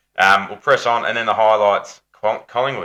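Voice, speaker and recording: This man speaks with an Australian accent at a fairly quick pace. The background is quiet. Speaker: football podcast host. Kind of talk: casual chat.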